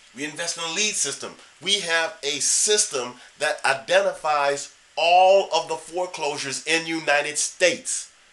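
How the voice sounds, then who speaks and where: Noticeable background noise behind a man's fairly high voice, moderate in pace and ordinary in pitch variation. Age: 60s. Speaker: real estate investor. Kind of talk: tutorial. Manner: casual.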